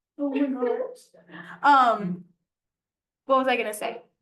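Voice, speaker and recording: A woman's high voice at a fairly slow pace, with audible room echo. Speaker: flight ground school instructor. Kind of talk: classroom lecture.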